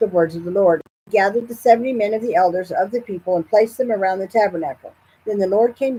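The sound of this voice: An unforced reading voice moves through ordinary pitch variation.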